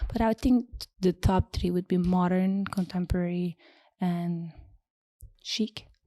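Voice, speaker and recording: In a very clean recording with a silent background and a dry, close sound with no echo, a voice with a Turkish accent and a dark, mellow tone moves at a fairly slow pace with long, frequent pauses. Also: woman, medium pitch for a woman. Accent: foreign accent (Turkish). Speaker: home stager and interior designer. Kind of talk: podcast interview.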